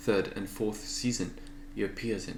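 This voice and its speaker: A man with a French accent, fairly low in pitch, at a moderate pace, with audible room echo. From France. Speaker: artist and video creator. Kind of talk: casual vlog narration.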